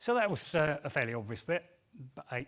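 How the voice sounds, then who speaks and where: A man with a London accent speaks. His pace is very fast. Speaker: engineering technician. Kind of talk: conference talk. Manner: hesitant, with fillers and repeats.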